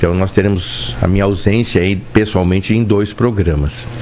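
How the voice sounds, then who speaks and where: A man's fairly low voice, with audible room echo and noticeable background noise. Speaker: doctor hosting radio health show. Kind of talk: casual radio chat. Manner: calmer, less rushed than usual.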